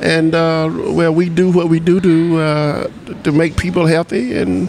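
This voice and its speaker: With noticeable background noise and audible room echo, a man speaks in a fairly high voice. His pace is fairly slow, his loudness very even and his intonation fairly even. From US. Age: 60s. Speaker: artist. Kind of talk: interview. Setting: conference in Brazil. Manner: halting, many fillers.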